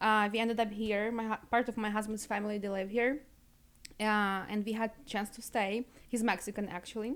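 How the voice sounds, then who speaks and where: On a very clean recording with a silent background, the speaker talks at a moderate pace with a Ukrainian accent. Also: woman. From Ukraine. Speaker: beauty business owner. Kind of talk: casual chat. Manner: animated.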